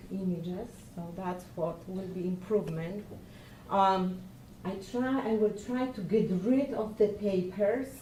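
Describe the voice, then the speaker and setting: At a fairly slow pace, a woman with a non-native accent speaks with ordinary pitch variation amid audible room echo. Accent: foreign. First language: Polish. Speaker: lecturer. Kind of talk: presentation. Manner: halting.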